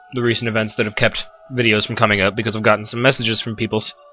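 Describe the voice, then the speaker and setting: A man's voice over background music. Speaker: gaming video commentator. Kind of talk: casual gameplay commentary. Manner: casual, halting.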